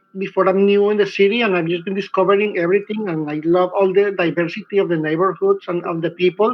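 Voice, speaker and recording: A man with a high pitch races at a very fast pace with hardly any pauses, his intonation monotone and flat. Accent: Spanish. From Colombia. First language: Spanish. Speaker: filmmaker. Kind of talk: panel discussion.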